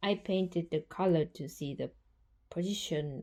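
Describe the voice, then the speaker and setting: Against a quiet background, a woman with a non-native accent speaks fairly slowly in a medium-pitched voice with a dark, mellow tone. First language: not English. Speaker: hobby painter and art vlogger. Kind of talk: vlog narration.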